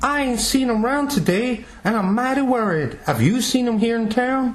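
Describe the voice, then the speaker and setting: A put-on character voice with a Southern US accent sits at a fairly high pitch. It moves at a moderate pace over light background noise. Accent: Southern backwoods dialect. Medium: stage play.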